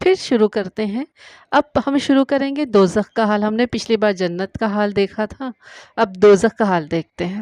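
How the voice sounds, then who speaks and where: A plain, everyday voice from a woman, fairly high-pitched with ordinary pitch variation, in a dry, close sound with no echo against a quiet background. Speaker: voice-over artist. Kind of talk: religious story narration.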